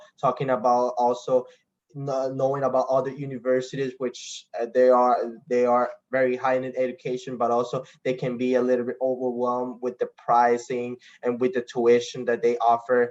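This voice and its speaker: A man speaks with a Spanish accent. His intonation is monotone and flat, and his pace is moderate. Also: medium pitch for a man. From Costa Rica. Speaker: international student athlete. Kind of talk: online info session talk. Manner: halting, with frequent restarts.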